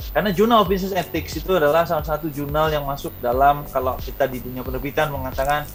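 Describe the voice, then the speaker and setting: At a very fast pace with hardly any pauses, a man with a strong Indonesian accent speaks in a fairly high voice with ordinary pitch variation over noticeable background noise. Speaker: university lecturer and author. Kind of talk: interview.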